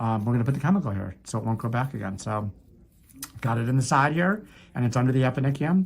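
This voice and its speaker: Somewhat breathy and very fast, the voice has lively intonation. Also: man, medium pitch for a man. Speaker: foot doctor doing procedures on camera. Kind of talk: narrated medical procedure with patient chat. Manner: casual play-by-play narration; soothing.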